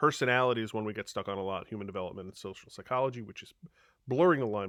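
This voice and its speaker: A man talks in a Long Island accent. His pace is very fast, and the sound is dry and close with no echo. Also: very clean recording, silent background. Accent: Long Island New York. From Long Island, New York. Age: 50s. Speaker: high school teacher. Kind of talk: recorded presentation to parents. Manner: casual, with frequent fillers.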